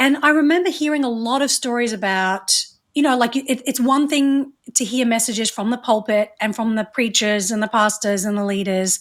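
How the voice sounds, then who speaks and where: In an Australian accent, a woman speaks at a fairly high pitch. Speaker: reproductive rights advocate and media producer. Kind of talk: interview conversation.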